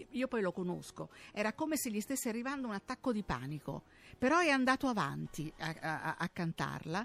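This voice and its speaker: The voice moves at a fairly quick pace with very wide pitch swings, in a very clean recording with a silent background and a dry, close sound with no echo. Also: woman, fairly high pitch for a woman. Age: 70s. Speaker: radio co-host. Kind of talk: casual chat.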